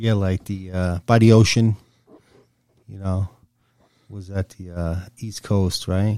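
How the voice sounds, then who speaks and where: A man with an American accent talks very slowly in a fairly low, dark, mellow voice, with long, frequent pauses. His intonation stays monotone and flat while his loudness swings widely. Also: dry, close sound with no echo. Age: 60s. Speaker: guest, father of co-guest. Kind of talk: casual chat.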